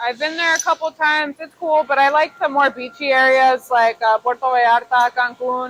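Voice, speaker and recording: A woman's high voice at a moderate pace, fairly even in intonation, dry and close with no echo, over noticeable background noise. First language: Spanish. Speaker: machinist and shop owner. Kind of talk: casual Q&A interview.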